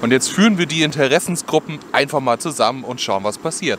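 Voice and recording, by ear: A man's fairly bright, medium-pitched voice, fast and lively in intonation, with faint background noise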